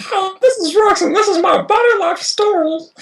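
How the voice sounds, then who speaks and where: Squeaky put-on character voice from a woman, pitched extremely high. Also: moderate pace. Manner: creature-like, hissing.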